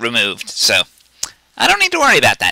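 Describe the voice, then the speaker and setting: A man is heard in a dry, close sound with no echo. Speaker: gaming video creator. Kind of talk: tutorial. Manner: halting.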